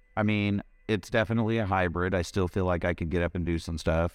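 A man's very deep, low voice at a fairly quick pace, fairly even in intonation, dry and close with no echo, on a very clean recording with a silent background. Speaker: cannabis podcast host. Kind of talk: casual chat. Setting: live stream.

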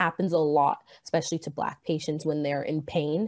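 A dark, mellow tone carries the speech at a moderate pace. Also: woman. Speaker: college student. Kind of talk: interview.

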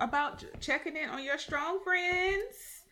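A woman speaks over noticeable background noise. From US South. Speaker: podcast host. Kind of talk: casual chat.

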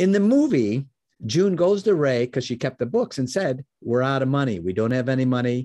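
A man with an American accent talks at a fairly quick pace. His pitch is medium and his intonation is lively. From US Midwest, Chicago area. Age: 60s. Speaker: business mentor and founder. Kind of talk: interview. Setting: video call. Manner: animated.

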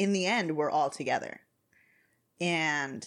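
Over a silent background in a very clean recording, a woman speaks with a very deep, low pitch and ordinary pitch variation. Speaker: podcast co-host. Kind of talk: casual chat; reading aloud. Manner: animated.

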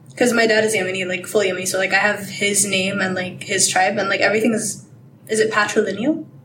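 A woman's medium-pitched voice at a very fast pace, fairly even in intonation, with noticeable background noise. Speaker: guest, student. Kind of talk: casual chat.

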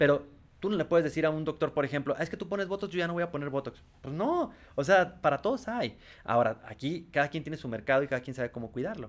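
A man talks at a very fast pace in a fairly high pitch. His intonation is lively. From Tijuana, Mexico. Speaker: sales executive. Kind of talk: interview.

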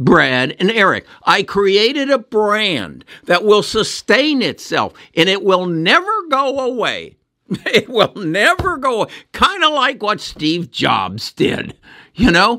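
At a very slow pace, a man uses a raised, projected voice, high in pitch, with a bright, sharp tone and very wide pitch swings. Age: 70s. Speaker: investing video host. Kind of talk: video monologue about investing and AI.

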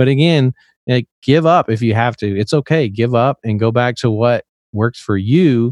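Speaking with an American accent, a man at medium pitch shows ordinary pitch variation and very even loudness, in a dry, close sound with no echo and a quiet background. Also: moderate pace. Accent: slight Southern US, comes out when drinking. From Tennessee, US South. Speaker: musician and streamer. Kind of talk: casual chat.

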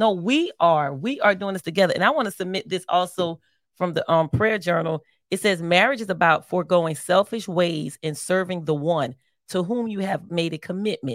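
A normal speaking voice from a woman with an American accent, medium in pitch, at a moderate pace with ordinary pitch variation. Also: dry, close sound with no echo. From Philadelphia, US. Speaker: marriage podcast co-host. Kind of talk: casual chat.

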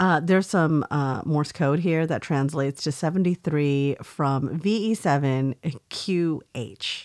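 A Californian accent at a fairly slow pace, with ordinary pitch variation. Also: woman, very deep, low pitch for a woman, very clean recording, silent background. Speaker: podcast co-host. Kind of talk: casual chat.

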